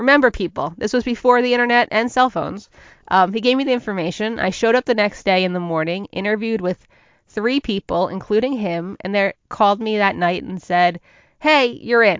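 A woman's fairly high voice in an American accent, fairly quick, with ordinary pitch variation. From New Jersey (northern). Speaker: podcast host, business mentor. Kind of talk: casual solo storytelling monologue.

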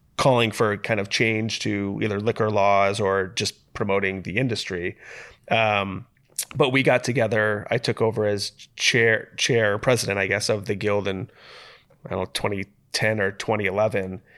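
Against a quiet background, a voice with an American accent speaks at a moderate pace. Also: man, fairly low pitch for a man, fairly even intonation. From US Midwest, Toledo, Ohio. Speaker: brewery founder. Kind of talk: casual interview. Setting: office.

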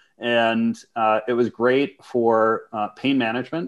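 With an American accent and an unremarkable speaking voice, a man talks at medium pitch with fairly even intonation against a quiet background. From Minnesota, US. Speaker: business coach. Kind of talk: casual interview.

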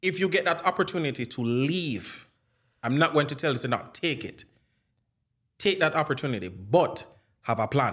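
A man with a fairly high pitch speaks at a moderate pace in a Jamaican accent, using lively intonation and some vocal fry. He leaves long, frequent pauses, and the recording is very clean with a silent background. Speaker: Jamaican immigrant in the US. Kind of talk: casual chat.

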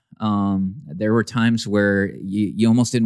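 A man talks at a moderate pace in a dark, mellow tone. The sound is dry and close, with no echo. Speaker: church consultant. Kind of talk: casual banter interview. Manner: joking, animated.

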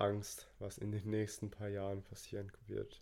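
With a dark, mellow tone, a man speaks fairly slowly at a fairly low pitch. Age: 20s. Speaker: podcast co-host. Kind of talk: casual chat.

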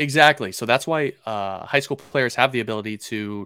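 On a very clean recording with a silent background and a dry, close sound with no echo, a man with a Pacific Northwest accent speaks at a moderate pace with lively intonation. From Seattle, Washington, US Pacific Northwest. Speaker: baseball draft analyst. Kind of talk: casual interview.

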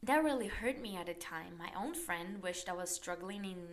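The woman's intonation is lively, her pitch medium. She keeps a moderate pace. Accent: Portuguese. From Brazil. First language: Portuguese. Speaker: podcast host. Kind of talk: guided reflection; personal storytelling monologue.

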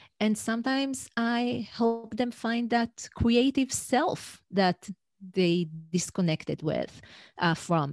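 Over a quiet background, the speaker talks at a very slow pace with lively intonation in an Israeli accent, the sound dry and close with no echo. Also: woman, fairly high pitch for a woman. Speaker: executive coach. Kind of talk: interview.

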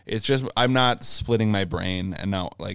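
A man with a Canadian accent speaks at a fairly quick pace on a very clean recording with a silent background. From Ontario, Canada (Brockville). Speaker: tour manager and front of house engineer. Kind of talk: casual chat.

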